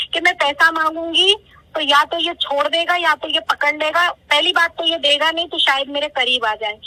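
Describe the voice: A woman with a high pitch talks in a bright, sharp tone with fairly even intonation.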